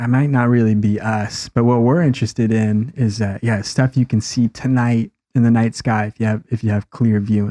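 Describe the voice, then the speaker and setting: Against a quiet background, a man talks at a moderate pace and medium pitch in a dark, mellow, relaxed tone with fairly even intonation and a dry, close sound with no echo. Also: hardly any pauses. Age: 20s. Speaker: podcast host. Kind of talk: casual chat.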